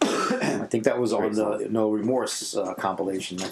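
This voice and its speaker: With a New York accent and fairly even intonation, a man talks over noticeable background noise and audible room echo. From New York City. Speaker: podcast host and musician. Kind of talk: casual interview chat. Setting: home studio in apartment.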